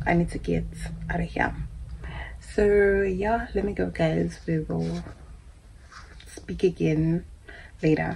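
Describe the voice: Slowly and with long, frequent pauses, a woman speaks at a fairly low pitch with vocal fry, a slightly mellow tone and little pitch movement.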